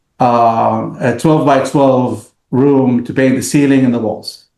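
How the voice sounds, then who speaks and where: With an Arabic accent, a man speaks at a medium pitch. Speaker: business owner. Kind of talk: casual interview. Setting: podcast. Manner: halting, many fillers.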